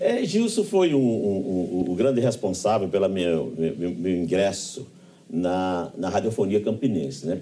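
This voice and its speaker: With a Paraíba accent, a man talks at a moderate pace. His tone is dark and mellow, and his intonation lively. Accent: Northeastern Brazilian (Paraíba). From Pombal, Paraíba backlands, Brazil. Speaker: radio broadcaster and professor. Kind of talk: interview answer.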